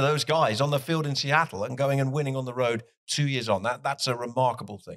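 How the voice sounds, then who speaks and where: A man at a fairly quick pace and medium pitch, on a very clean recording with a silent background. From Plymouth, south-west England. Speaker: soccer TV commentator. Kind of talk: casual interview. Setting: hotel venue.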